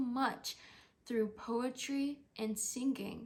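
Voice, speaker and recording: A somewhat breathy voice with monotone, flat intonation. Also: woman. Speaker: stroke survivor. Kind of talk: scripted narration. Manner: slow; halting.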